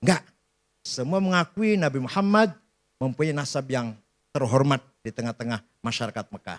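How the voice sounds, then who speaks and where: Pausing long and often, a man swings his pitch very widely in a very clean, dry, close recording with a silent background and no echo. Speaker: Islamic scholar giving a lecture. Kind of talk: lecture / religious talk to an audience. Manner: casual, humorous, storytelling.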